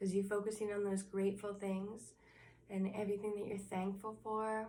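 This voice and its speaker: With audible room echo and noticeable background noise, a woman speaks at medium pitch in a monotone, flat intonation. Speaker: inspirational vlogger. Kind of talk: motivational talk to camera. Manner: slow, calm.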